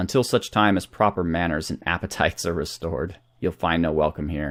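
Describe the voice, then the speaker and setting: Using a put-on character voice, a man speaks at a very deep, low pitch, shaky and at a fairly quick pace. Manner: nervous, formal.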